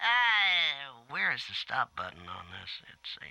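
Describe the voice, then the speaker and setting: The speaker uses a put-on character voice. The pitch sits in the middle. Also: fairly slow pace. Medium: video game. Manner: theatrically menacing.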